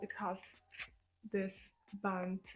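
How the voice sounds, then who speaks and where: A woman's voice with a non-native accent. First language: not English. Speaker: lifestyle vlogger. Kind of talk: casual vlog talk to camera.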